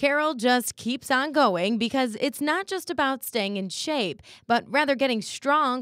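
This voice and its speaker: A woman speaks with a high pitch and lively intonation at a fairly slow pace. The recording is very clean, with a silent background. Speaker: news reporter. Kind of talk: news report voiceover narration.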